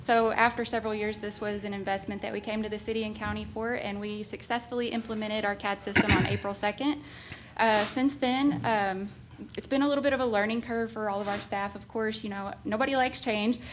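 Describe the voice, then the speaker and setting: A woman talks at a fairly quick pace with a fairly high pitch and fairly even intonation, over noticeable background noise. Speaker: 911 director. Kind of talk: public meeting report. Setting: county government meeting. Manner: fast.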